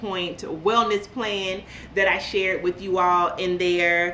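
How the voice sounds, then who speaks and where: A woman with an American accent talks at a fairly slow pace, with audible room echo and light background noise. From US South (central Florida). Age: 40s. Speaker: lifestyle vlogger. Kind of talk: casual vlog chat. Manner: animated. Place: home room.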